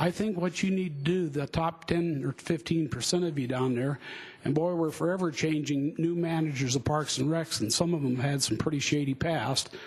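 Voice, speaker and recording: Fairly high male voice with an American accent, ordinary pitch variation, very even loudness and a moderate pace, over noticeable background noise. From US West, Denver, Colorado. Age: 60s. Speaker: public commenter at city hearing. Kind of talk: public testimony at hearing. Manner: halting, with many fillers.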